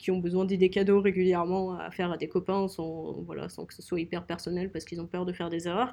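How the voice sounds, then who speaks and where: The background is quiet as a woman talks with a dark, mellow tone. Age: 20s. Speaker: young entrepreneur, co-founder. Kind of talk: interview.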